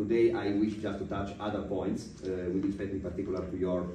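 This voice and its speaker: Over audible room echo, a man talks at a very fast pace. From Italy. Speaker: podcast interviewer. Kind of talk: interview. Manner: halting, many fillers.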